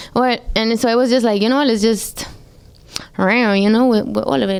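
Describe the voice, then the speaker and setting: Her pace is fairly quick. The woman talks with a Spanish accent. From Colombia, Medellin, moved to New York at ten. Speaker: singer. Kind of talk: radio interview. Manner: casual, heavy use of like.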